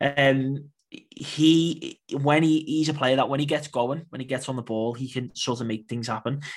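An unremarkable speaking voice from a man, moderately paced, pitched fairly high, intonation fairly even. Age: 20s. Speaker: Portuguese football expert and podcaster. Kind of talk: casual football discussion.

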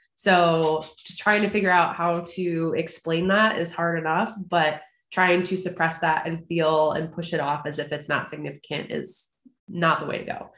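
A woman speaks at a fairly low pitch in a flat monotone. Audible room echo can be heard. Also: moderate pace. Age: 20s. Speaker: podcast host. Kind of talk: casual interview. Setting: video call.

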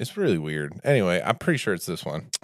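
A man talks at a fairly quick pace. The recording is very clean, with a silent background. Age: 30s. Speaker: podcast co-host, minister. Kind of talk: casual chat.

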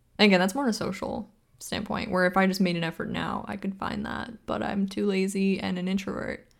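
A woman talks in a plain, everyday voice at medium pitch. Her pace is fairly quick. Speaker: podcast co-host. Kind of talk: casual chat.

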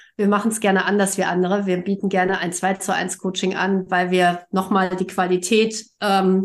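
Fairly slow speech from a woman at a medium pitch. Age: 50s. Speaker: coach. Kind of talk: casual chat. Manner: frequent filler sounds.

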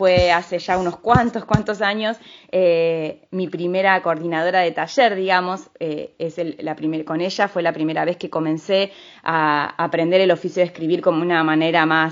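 A woman speaks at a moderate pace in an ordinary speaking voice. Her pitch is fairly low and her intonation fairly even. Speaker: radio host. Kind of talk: radio book review show.

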